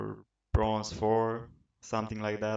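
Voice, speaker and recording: A man with a Romanian accent speaks at a fairly low pitch. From Romania, Bucharest. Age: 20s. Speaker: gaming podcaster. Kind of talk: casual monologue. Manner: hesitant, many fillers.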